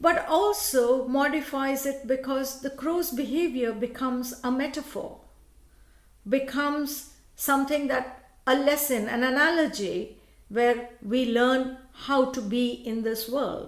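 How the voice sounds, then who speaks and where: In a Tamil accent, a woman talks at a fairly slow pace with a high pitch. Her pitch varies in an ordinary way, and audible room echo surrounds her. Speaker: law professor. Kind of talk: panel talk.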